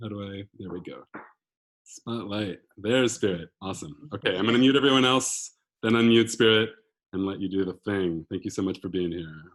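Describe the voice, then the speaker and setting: Talking at a fairly quick pace, a man with a fairly low pitch shows ordinary pitch variation and big swings in loudness. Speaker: house concert host. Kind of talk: online concert hosting. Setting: video call. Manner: frequent ums.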